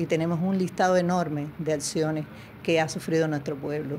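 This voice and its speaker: Light background noise sits behind a woman speaking at a fairly low pitch with ordinary pitch variation. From Cuba. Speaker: interviewee, wife of former agent; interviewee. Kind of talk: interview. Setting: video call. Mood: firm, defiant. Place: home room. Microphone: handheld.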